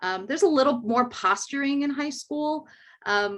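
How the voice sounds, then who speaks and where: The speaker is a woman. She keeps a moderate pace against a quiet background. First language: Spanish. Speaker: educator. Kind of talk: panel discussion.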